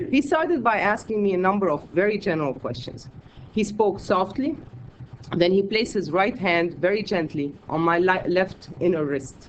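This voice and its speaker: Moderate pace against noticeable background noise. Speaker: academic conference presenter; scholar of medieval Islamic medicine. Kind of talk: conference talk read from a paper. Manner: reading aloud, measured.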